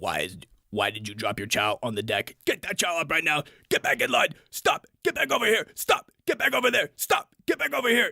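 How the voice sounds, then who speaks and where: The speaker uses a put-on character voice and talks at a fairly quick pace. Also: man, high pitch for a man, dry, close sound with no echo. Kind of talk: military. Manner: barking, harsh commands.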